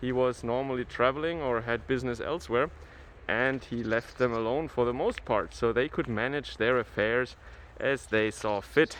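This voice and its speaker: With a Franconian accent, a man speaks at a moderate pace in a medium pitch with ordinary pitch variation. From Germany, Franconia. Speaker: travel vlogger. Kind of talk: walking tour vlog. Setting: outdoors in a snowy town. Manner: hesitant, with fillers.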